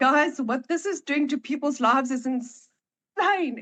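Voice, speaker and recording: A woman speaks at a moderate pace in a high voice with a bright, sharp tone and ordinary pitch variation. The sound is dry and close, with no echo. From South Africa. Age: 40s. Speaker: online marketing entrepreneur. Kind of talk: testimony. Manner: hesitant, many fillers.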